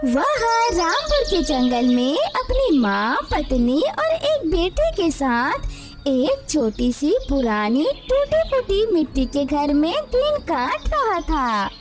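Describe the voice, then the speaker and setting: A cartoonish character voice talks in a high pitch at a very slow pace. Loud music plays in the background. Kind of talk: moral story narration. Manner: sympathetic, dramatic.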